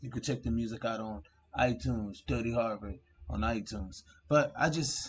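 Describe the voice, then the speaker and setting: A man is speaking. His voice is somewhat breathy. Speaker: channel host. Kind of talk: casual vlog chat.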